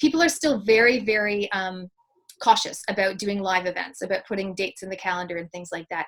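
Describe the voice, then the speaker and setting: A plain, everyday voice comes through with big swings in loudness. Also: woman, medium pitch for a woman, ordinary pitch variation, fairly quick pace. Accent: Canadian. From Canada. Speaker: public speaker and mentor. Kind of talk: interview.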